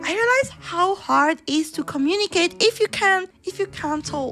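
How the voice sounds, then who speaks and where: A woman speaks at a moderate pace with an extremely high pitch and lively intonation. Noticeable background noise runs underneath. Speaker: VTuber streamer. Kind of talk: casual livestream chat. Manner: halting, repeats words.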